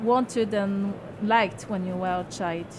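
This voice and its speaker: Noticeable background noise sits behind a woman with a French accent. She talks at a fairly slow pace with fairly even intonation. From France. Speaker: self-help author. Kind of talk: interview. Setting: radio studio at a book fair.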